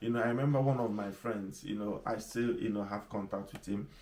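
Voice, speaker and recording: A man with a strong Nigerian accent speaks at a fairly quick pace and medium pitch, with audible room echo. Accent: strong Igbo Nigerian. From Nigeria, Igbo. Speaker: pastor / leadership teacher. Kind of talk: sermon.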